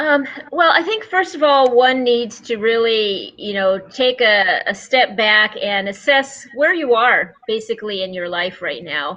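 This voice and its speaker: Over noticeable background noise, a woman speaks at a fairly slow pace with hardly any pauses, her fairly high pitch making very wide swings. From rural cattle ranch. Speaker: author and veterinarian rancher. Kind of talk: interview. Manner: hesitant, many fillers.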